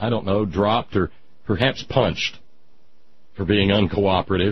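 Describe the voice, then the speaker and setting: With an American accent and vocal fry, a man talks at a moderate pace. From Southern United States. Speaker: radio talk show host. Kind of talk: radio monologue, storytelling.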